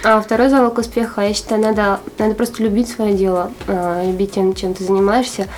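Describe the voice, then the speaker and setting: Over noticeable background noise, a woman speaks at a moderate pace with a medium pitch and fairly even intonation. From Arkhangelsk, northern Russia. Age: 20s. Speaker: entrepreneur, clothing shop owner. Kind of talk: interview.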